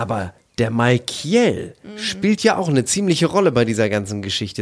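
Here is a man with an ordinary speaking voice at medium pitch. He keeps a moderate pace and his intonation is lively. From East Frisia, northern Germany. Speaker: podcast co-host. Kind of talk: casual chat.

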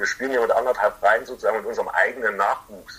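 Noticeable background noise fills the clip. Over it, a man speaks very fast. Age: 30s. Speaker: ice hockey fan representative. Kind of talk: casual interview.

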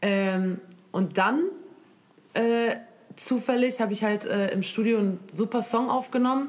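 A woman's fairly high voice, ordinary in pitch variation and very even in loudness, fairly slow with long, frequent pauses. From Germany, Moroccan family. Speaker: singer. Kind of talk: casual chat.

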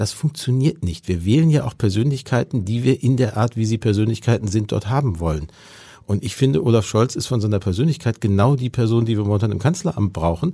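Talking at a very fast pace, a man has a dark, mellow, somewhat breathy tone and ordinary pitch variation. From Ruhr area, Germany. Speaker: politician and speechwriter. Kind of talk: interview. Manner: fluent free speech.

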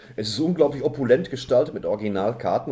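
Somewhat breathy and dark, mellow in tone, a man rattles along at a very fast pace. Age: 40s. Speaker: podcast co-host. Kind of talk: casual chat.

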